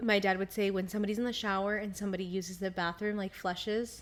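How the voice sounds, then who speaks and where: Amid noticeable background noise, a woman with a medium-pitched voice talks at a very fast pace in an animated tone. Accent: American. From California. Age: 20s. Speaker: podcast co-host. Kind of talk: casual chat. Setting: living room.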